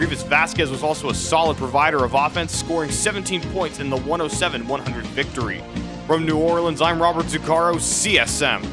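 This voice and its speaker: Fairly even intonation at a fairly quick pace, with music in the background. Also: man, fairly high pitch for a man. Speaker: aspiring sports radio broadcaster. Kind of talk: sports news report, play-by-play style.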